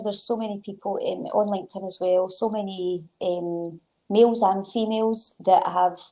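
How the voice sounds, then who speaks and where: With a Glaswegian accent, a woman speaks at a moderate pace and medium pitch, her intonation fairly even. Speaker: sports development coordinator and author. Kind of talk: interview answer.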